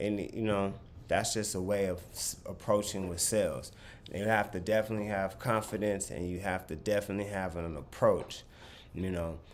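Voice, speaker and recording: A man speaks in an unremarkable speaking voice at a moderate pace. His pitch is fairly low and his intonation fairly even. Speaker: clothing brand owner and vlogger. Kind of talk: casual talk to camera, sales advice.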